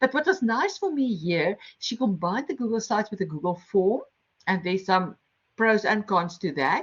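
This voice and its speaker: A woman with a strong non-native accent talks at a moderate pace and medium pitch. Her voice is somewhat breathy, with lively intonation. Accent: heavy non-native English. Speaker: lecturer and game-based learning workshop facilitator. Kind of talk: online workshop presentation.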